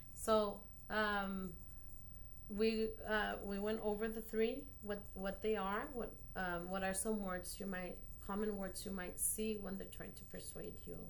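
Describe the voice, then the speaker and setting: Speaking in a Spanish accent at a fairly slow pace, a woman uses monotone, flat intonation with big swings in loudness, amid audible room echo and noticeable background noise. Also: medium pitch for a woman. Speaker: elementary school teacher. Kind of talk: post-observation feedback conversation. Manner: halting, many fillers.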